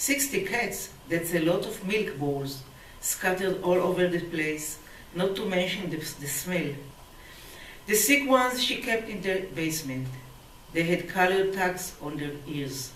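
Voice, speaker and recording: A woman with a medium-pitched voice and lively intonation speaks at a fairly slow pace amid noticeable background noise. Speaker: poet. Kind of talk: poetry reading.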